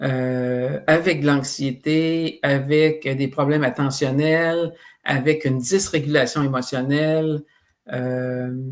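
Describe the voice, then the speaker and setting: A man with a fairly high pitch at a very slow pace and fairly even intonation, in a very clean recording with a silent background. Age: 60s. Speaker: psychoeducation expert, author. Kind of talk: interview podcast.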